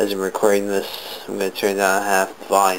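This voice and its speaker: Someone mumbles over noticeable background noise. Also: man. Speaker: gaming video reviewer. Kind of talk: casual tutorial. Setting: home bedroom, behind the camera. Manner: mumbling; hesitant, many fillers.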